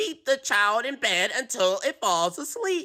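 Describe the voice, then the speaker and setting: A squeaky, put-on character voice, female-sounding and high-pitched, with very wide pitch swings. It moves at a fairly slow pace. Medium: read story.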